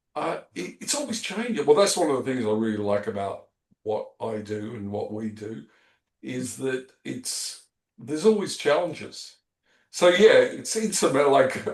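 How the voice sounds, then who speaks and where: Speaking at a fairly slow pace with an Australian accent, a man uses a fairly high pitch, very wide pitch swings and big swings in loudness. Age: 60s. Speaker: podcast host. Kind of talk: casual chat.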